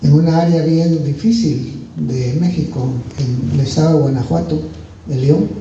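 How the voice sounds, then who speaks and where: At a fairly slow pace, a man with a fairly high pitch and ordinary pitch variation speaks amid noticeable background noise and audible room echo. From Guatemala. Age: 70s. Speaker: visiting preacher. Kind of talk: testimony. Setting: church.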